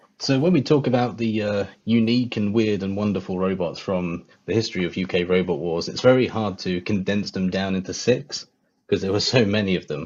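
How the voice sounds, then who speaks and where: Speaking fairly quickly in a southern English accent, the voice moves with ordinary pitch variation and hardly any pauses. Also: man, fairly low pitch for a man. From England, near London. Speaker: guest, robot combat enthusiast. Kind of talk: casual livestream chat.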